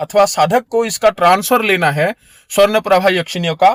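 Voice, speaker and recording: A man's high voice is heard in a dry, close sound with no echo. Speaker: occult practitioner and spiritual teacher. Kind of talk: spiritual tutorial. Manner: informal, repetitive direct address.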